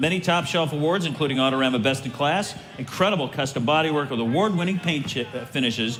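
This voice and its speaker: A man at a very fast pace with hardly any pauses, ordinary pitch variation and noticeable background noise. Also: fairly high pitch for a man. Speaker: auction announcer. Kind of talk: car auction lot announcement.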